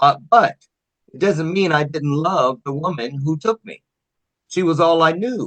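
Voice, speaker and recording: A man with an ordinary speaking voice talks at a fairly high pitch. His pace is fairly slow. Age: 60s. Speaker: motivational speaker. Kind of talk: interview.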